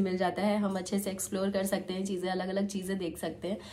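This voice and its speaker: A woman talks at a medium pitch. Background noise is noticeable throughout. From Lucknow, Uttar Pradesh, India. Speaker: vlogger. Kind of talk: vlog narration.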